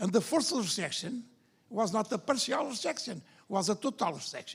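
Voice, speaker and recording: This man's tone is animated. He speaks with lively intonation. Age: older. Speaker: liver surgeon. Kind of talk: conference discussion.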